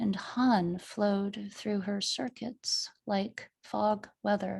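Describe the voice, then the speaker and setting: A woman's somewhat breathy, medium-pitched voice at a very slow pace, with fairly even intonation. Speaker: poet and author. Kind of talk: poetry reading.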